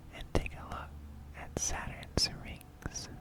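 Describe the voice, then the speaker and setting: A very slow whisper comes through with noticeable background noise. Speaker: ASMR creator. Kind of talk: ASMR educational talk. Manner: whispered.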